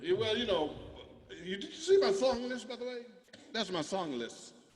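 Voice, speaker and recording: In a room with audible echo, a man with a high pitch talks at a moderate pace, his pitch swinging very widely. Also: long, frequent pauses, big swings in loudness. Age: 60s. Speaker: musician performing live concert. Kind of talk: casual chat. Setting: video call. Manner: halting.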